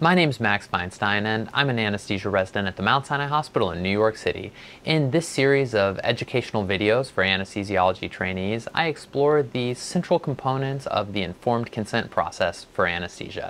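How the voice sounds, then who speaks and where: A man speaks fairly quickly while light noise sits in the background. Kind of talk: educational explainer. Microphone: lapel.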